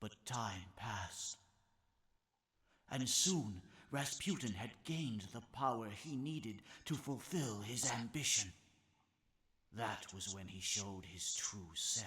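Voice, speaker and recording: Doing a put-on character voice, a man speaks at medium pitch and a fairly slow pace with lively intonation and long, frequent pauses. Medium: video game. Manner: slow, measured, gentle.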